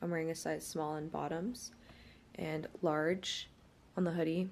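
At a fairly slow pace, a woman talks with a very deep, low pitch. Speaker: lifestyle vlogger. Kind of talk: casual vlog chat. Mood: relaxed, later annoyed. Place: home room. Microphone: phone near.

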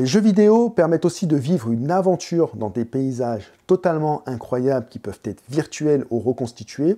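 Against a quiet background, a man talks at a moderate pace. His fairly high voice has a dark, mellow tone and very wide pitch swings. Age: 30s. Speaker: photography youtuber and teacher; photography youtuber, teacher. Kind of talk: educational monologue; explanatory video talk. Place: home room. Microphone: lapel.

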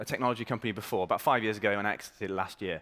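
A man's fairly low voice against a quiet background. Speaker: startup marketing executive. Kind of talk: startup pitch presentation. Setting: stage with audience. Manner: energetic, confident. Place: stage.

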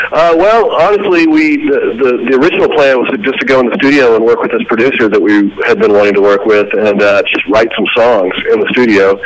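A man with an American accent, medium pitch, very wide pitch swings, very even loudness, a fairly quick pace with hardly any pauses, and light background noise. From Texas, Fort Worth; Texas. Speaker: rock band frontman; interviewee. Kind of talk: phone interview. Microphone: phone line.

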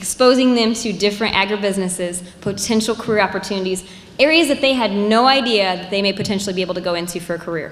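With ordinary pitch variation, a woman speaks at a very fast pace. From US Midwest. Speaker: agriculture professor. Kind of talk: presentation. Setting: stage with audience. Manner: loud. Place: hall. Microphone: handheld.

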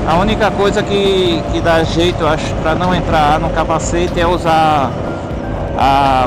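A man talks at a fairly slow pace, the sound dry with no echo and music in the background. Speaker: motorcycle rider vlogger. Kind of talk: casual moto vlog chat. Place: motorbike. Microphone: helmet.

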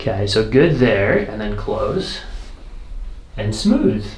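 A man speaks at a very slow pace, with audible echo from the room. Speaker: chiropractor. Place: office. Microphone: camera far.

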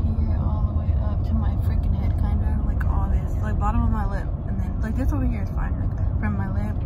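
Over loud background noise, a woman speaks at a moderate pace. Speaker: vlogger. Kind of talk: casual vlog chat. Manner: numb, slurred post-surgery speech. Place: car. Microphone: phone near.

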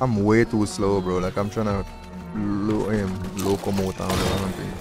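A man with a fairly low pitch speaks at a moderate pace in a monotone, flat intonation while music plays in the background. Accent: Jamaican. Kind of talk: casual gaming livestream chat.

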